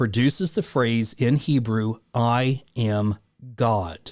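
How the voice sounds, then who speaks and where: A man talks in an unremarkable speaking voice at a medium pitch with ordinary pitch variation. The recording is very clean, with a silent background. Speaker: numerology video creator. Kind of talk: screen-share tutorial.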